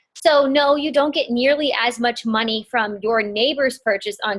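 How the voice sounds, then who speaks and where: A woman with a plain, everyday voice talks at a moderate pace. Her pitch is fairly high, with ordinary variation. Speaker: network marketing team leader. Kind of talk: training call. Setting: conference call.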